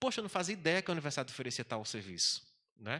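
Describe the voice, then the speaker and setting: Bright and sharp in tone, the voice has vocal fry and races at a very fast pace in a very clean recording with a silent background. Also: man. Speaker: university administrator. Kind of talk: panel talk.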